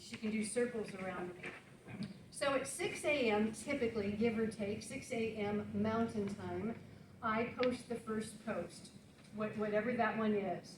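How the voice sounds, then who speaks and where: A woman with an American accent, fairly high in pitch, at a fairly slow pace with fairly even intonation, amid noticeable background noise and audible room echo. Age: 60s. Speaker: author. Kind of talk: talk to an audience.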